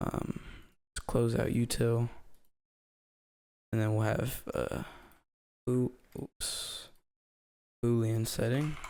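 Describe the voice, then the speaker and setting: The voice is quiet and very slow, broken by long, frequent pauses. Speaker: programming tutorial maker. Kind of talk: coding tutorial narration. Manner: quiet, breathing hard.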